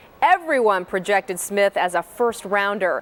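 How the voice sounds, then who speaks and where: A woman talks at an unhurried, moderate pace while music plays behind her. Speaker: TV sports anchor. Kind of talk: TV sports report.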